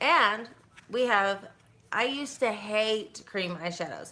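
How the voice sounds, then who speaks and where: Lively in intonation and fairly high in pitch, a woman's bright, sharp voice moves at a moderate pace. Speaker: makeup artist and beauty consultant. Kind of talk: makeup tutorial livestream. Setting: livestream at home. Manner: halting, with fillers and repetitions.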